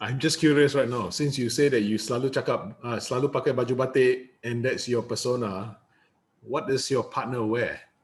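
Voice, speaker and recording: Somewhat breathy and medium-pitched, a man speaks at a fairly quick pace with fairly even intonation on a very clean recording with a silent background. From Malaysia. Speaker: interviewer. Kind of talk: interview.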